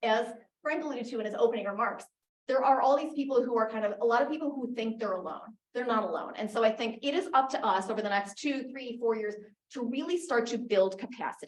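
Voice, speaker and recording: Her speech moves at a very fast pace. Audible room echo surrounds the woman's voice. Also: fairly high pitch for a woman, ordinary pitch variation. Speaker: advocacy group founder and speaker. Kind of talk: conference talk.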